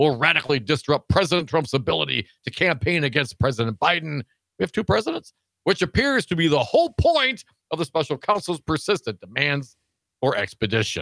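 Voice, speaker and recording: At a fairly quick pace, a man speaks in a bright, sharp, fairly high voice with vocal fry, very even loudness and lively intonation. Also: dry, close sound with no echo. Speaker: radio host. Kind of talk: live political talk radio. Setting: radio studio.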